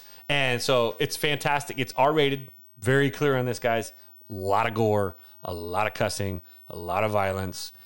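An unremarkable speaking voice with an American accent moves at a moderate pace with ordinary pitch variation in a very clean recording with a silent background. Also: man, medium pitch for a man. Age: 40s. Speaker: podcast co-host, teacher. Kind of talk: casual chat.

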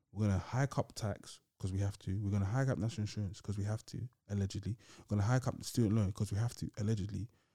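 On a very clean recording with a silent background, a man talks at a very fast pace, somewhat breathy, with a dark, mellow tone, fairly low pitch and fairly even intonation. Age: 20s. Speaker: podcast host. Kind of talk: casual chat.

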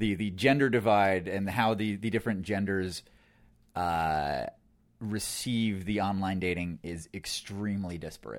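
An unremarkable speaking voice from a man, fairly low-pitched and fairly slow, with ordinary pitch variation, on a very clean recording with a silent background. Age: 30s. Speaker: online dating enthusiast. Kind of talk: casual chat.

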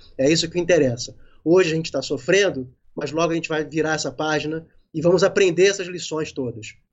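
With an ordinary speaking voice, a man talks at a fairly high pitch with ordinary pitch variation. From Rio de Janeiro, Brazil. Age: 50s. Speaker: independent filmmaker. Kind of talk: casual interview on a live stream.

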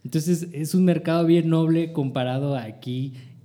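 Audible room echo around a man with ordinary pitch variation. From northern Mexico. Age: 30s. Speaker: multimedia producer and photographer. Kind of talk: casual chat.

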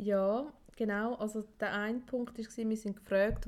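The speaker uses a Swiss accent with fairly even intonation. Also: woman. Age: 40s. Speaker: podcast co-host. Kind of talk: casual chat.

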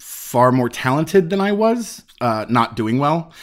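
With an American accent and a plain, everyday voice, a man talks at a fairly slow pace with lively intonation on a very clean recording with a silent background. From Chicago. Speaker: theater director. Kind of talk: interview.

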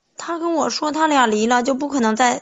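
A woman talks at a fairly quick pace. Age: 20s. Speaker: caller seeking relationship advice. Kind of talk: call-in conversation.

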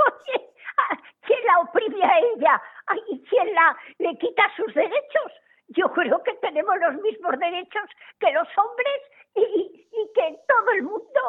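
A woman speaks at an extremely high pitch. Her pace is very slow. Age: 80s+. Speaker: regular radio contributor. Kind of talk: casual chat.

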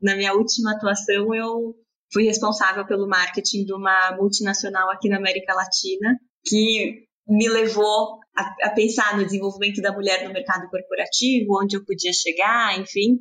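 Flat, monotone intonation from a woman, medium in pitch and at a moderate tempo. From Brazil, São Paulo. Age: 30s. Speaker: fashion brand co-founder. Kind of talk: interview.

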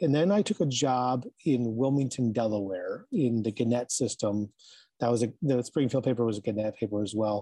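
A man's dark, mellow, medium-pitched voice in a Midwestern American accent, at a moderate pace with very even loudness and a dry, close sound with no echo. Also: ordinary pitch variation. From Michigan, Ann Arbor area. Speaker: newspaper editor and journalist. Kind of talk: casual interview. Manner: frequent fillers and repetitions.

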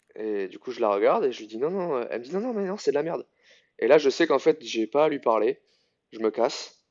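A man talks at a very fast pace in a fairly high pitch. His voice shows very wide pitch swings and big swings in loudness. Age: 30s. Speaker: CrossFit coach. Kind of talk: casual interview.

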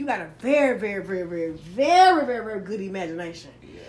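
Her intonation is lively and her tone animated. This woman speaks with a Southern US accent. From US South. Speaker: podcast host. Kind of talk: casual interview. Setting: live recording in Atlanta. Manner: fast talker, animated.

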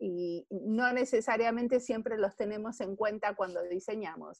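A woman speaks at medium pitch, her voice showing ordinary pitch variation. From Argentina. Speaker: service designer. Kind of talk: interview.

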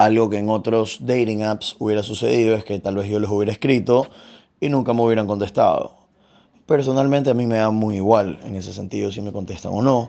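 This man has an ordinary speaking voice with a fairly low pitch. He talks at a fairly quick pace with fairly even intonation. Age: 20s. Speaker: dating app user interviewee. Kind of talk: personal testimony.

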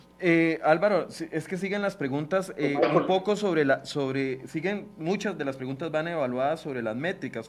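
Over music in the background, a man with a fairly high pitch speaks at a fairly quick pace with ordinary pitch variation. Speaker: TV news show host. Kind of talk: interview.

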